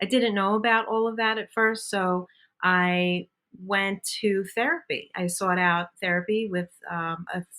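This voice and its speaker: With a Brooklyn accent, a woman speaks in a bright, sharp tone with fairly even intonation. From Brooklyn, New York. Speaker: bariatric surgery patient and bodybuilder. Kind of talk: podcast interview.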